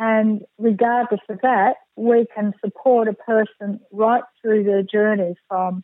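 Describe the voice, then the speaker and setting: A woman at a fairly high pitch, with fairly even intonation and a very slow pace. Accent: Australian. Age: 60s. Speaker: counsellor and death doula. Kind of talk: interview.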